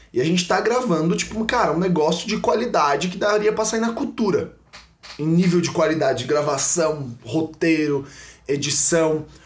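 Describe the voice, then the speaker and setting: A man speaks at a high pitch and a moderate pace. His intonation is lively, with noticeable background noise. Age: young. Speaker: church content producer. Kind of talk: casual chat. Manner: casual slang-filled.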